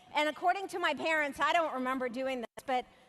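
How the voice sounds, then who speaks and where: A high-pitched woman's voice, animated in tone with lively intonation, at a fairly quick pace over noticeable background noise. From former Soviet Union, moved to US at 13. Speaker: motivational speaker. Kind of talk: keynote speech. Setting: stage with large audience.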